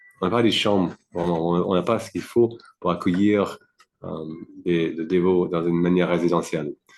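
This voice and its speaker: Speaking at a moderate pace with a non-native accent, a man with a very deep, low pitch keeps his intonation fairly even and leaves long, frequent pauses. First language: not French (speaking French). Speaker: devotee, temple community member. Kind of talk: interview. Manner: halting, many fillers.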